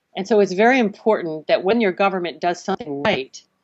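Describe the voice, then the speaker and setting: With medium pitch and lively intonation, a woman talks in an unremarkable speaking voice. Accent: American. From US Northeast, Connecticut. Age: 60s. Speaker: marine biologist and salmon farm activist. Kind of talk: podcast interview.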